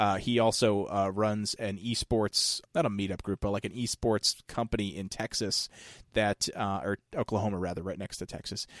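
In a very clean recording with a silent background and a dry, close sound with no echo, a man with a plain, everyday voice speaks at a moderate pace, with fairly low pitch and fairly even intonation. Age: 30s. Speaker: podcast host and former radio DJ. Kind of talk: casual chat.

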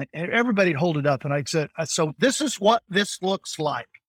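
Lively intonation runs through speech at a moderate pace, the sound dry and close with no echo. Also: man. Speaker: life insurance practitioner and coach. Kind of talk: podcast interview. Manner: animated.

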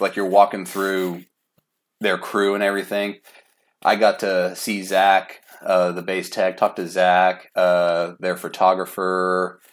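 The speaking is very slow. The recording is very clean, and the background is silent. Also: man. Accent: American. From Oklahoma City, US. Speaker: metal fan. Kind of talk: casual chat.

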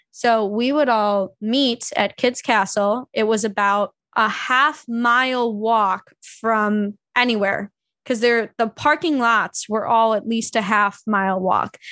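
A woman with an American accent, fairly high pitch and a bright, sharp tone, speaking very slowly with fairly even intonation and very even loudness against a quiet background. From US Midwest, suburban Illinois north of Chicago. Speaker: podcast host. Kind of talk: casual chat.

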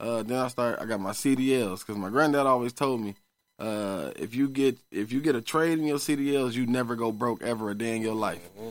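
At a fairly quick pace, a man talks at medium pitch with ordinary pitch variation in a very clean recording with a silent background. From grew up in Hillside projects neighborhood. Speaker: barber. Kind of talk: casual interview.

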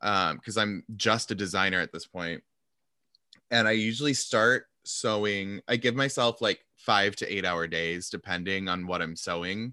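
At a fairly slow pace, a man with a fairly low pitch and ordinary pitch variation speaks on a very clean recording with a silent background. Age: 30s. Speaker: podcast host; fashion designer. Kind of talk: casual chat. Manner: animated.

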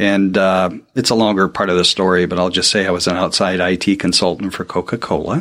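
A man with an American accent speaks at a fairly low pitch in an ordinary speaking voice. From Portland, Oregon, US Pacific Northwest. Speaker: podcast producer. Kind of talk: interview.

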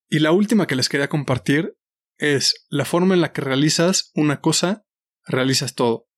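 In a very clean recording with a silent background, a man talks at a moderate pace in an unremarkable speaking voice, fairly high in pitch with ordinary variation, the sound dry and close with no echo. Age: 30s. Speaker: podcast host and nutrition coach. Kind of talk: solo podcast monologue.

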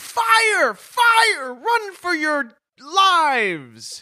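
Shouting in a put-on character voice, the speaker hits an extremely high pitch with very wide pitch swings.

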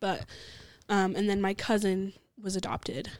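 A woman speaks with an American accent at a medium pitch. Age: 20s. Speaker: barista. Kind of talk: interview. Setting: studio.

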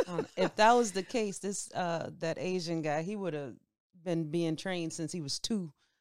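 Using a normal speaking voice, a woman talks at a moderate pace in a fairly low pitch with ordinary pitch variation. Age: 30s. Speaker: podcast assistant. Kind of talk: casual chat.

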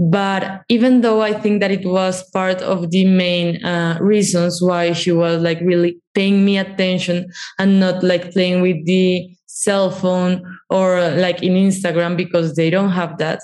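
Speaking with a Spanish accent, a woman delivers her words at a fairly slow pace in a monotone, flat intonation, with very even loudness and hardly any pauses. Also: medium pitch for a woman. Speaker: documentary producer, former psychologist. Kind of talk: interview conversation.

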